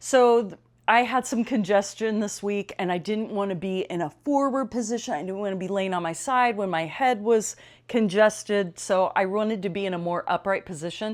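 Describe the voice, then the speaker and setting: Her voice is a plain, everyday voice, as the woman talks at medium pitch and a moderate pace with ordinary pitch variation. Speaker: fitness trainer and yoga teacher. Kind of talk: guided stretching class instruction. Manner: calm, gentle, instructional.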